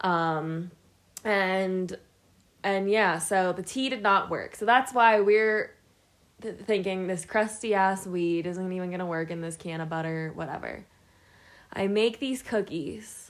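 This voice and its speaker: In a very clean recording with a silent background, a woman speaks with an American accent and an ordinary speaking voice. Her pitch is medium, her pitch variation ordinary and her pace fairly slow. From Pittsburgh, Pennsylvania. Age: 20s. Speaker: podcast co-host. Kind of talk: casual chat.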